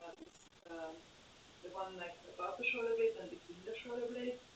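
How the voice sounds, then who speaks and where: There is audible room echo around a woman's medium-pitched voice, which shows ordinary pitch variation. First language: German. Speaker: yoga teacher. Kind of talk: guided yoga class. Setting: live stream. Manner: hesitant, many fillers.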